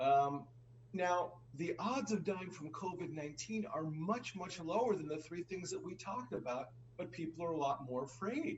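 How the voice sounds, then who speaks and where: A man's voice sits high in pitch and rises and falls with lively intonation against noticeable background noise. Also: moderate pace. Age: 60s. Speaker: finance show co-host. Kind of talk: conversational discussion.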